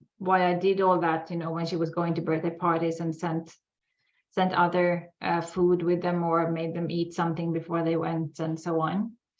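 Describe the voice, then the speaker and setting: In a Swedish accent, a woman speaks at a moderate pace and a fairly low pitch, her intonation monotone and flat. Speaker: sugar addiction expert. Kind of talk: casual interview. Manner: halting.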